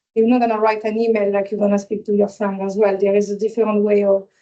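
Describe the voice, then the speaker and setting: Her voice is fairly high in pitch with a dark, mellow tone, a non-native accent and monotone, flat intonation. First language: not English. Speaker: hospitality employee, apprenticeship graduate. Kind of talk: workplace info session, sharing experience. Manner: halting.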